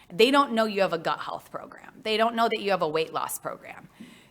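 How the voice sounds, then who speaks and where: With a Midwestern US accent, a woman talks fairly quickly at a fairly high pitch, her intonation lively. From US Midwest. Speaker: marketing consultant. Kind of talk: conference talk.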